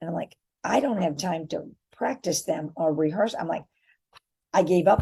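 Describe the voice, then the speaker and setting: A woman talks in a somewhat breathy voice at a moderate pace. Her tone is animated. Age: 60s. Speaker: entrepreneur and affiliate marketer. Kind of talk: casual vlog monologue.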